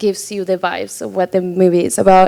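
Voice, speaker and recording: A woman is speaking. She has a Spanish accent. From Argentina. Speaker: filmmaker. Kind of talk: panel discussion. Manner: halting, many fillers.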